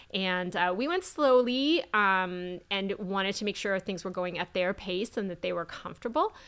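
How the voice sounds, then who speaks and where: A plain, everyday voice goes at a moderate pace with hardly any pauses and ordinary pitch variation. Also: woman, medium pitch for a woman. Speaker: dietitian. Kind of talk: casual chat. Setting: in person, recorded at an expo.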